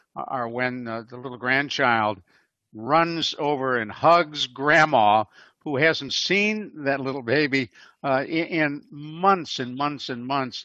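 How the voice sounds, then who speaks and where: This man, with an American accent, talks at a very slow pace, with medium pitch and ordinary pitch variation. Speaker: radio host. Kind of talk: casual chat. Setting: video call.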